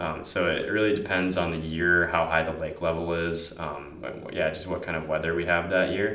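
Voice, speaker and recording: A man with a very deep, low pitch speaks at a moderate pace with an American accent and monotone, flat intonation, amid noticeable background noise and audible room echo. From Upper Peninsula of Michigan, Marquette. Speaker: college student, surfer. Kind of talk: interview.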